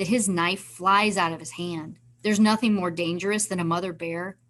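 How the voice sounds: A natural reading voice carries the whole clip.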